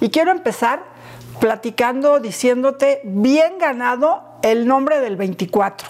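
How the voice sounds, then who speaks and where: Over noticeable background noise, a woman talks at a very slow pace with high pitch, lively intonation, and very even loudness. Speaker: interviewer, channel host. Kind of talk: casual interview chat. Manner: enthusiastic, warm.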